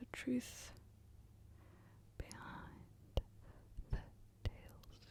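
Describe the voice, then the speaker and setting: A woman is whispering in a gentle tone. Her pace is very slow. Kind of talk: soft ASMR book reading. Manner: soft-spoken, gentle.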